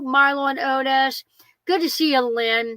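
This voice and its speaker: Her voice high in pitch and animated in tone, a woman talks at a fairly slow pace. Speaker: van life livestream host. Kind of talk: casual livestream chat. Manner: loud.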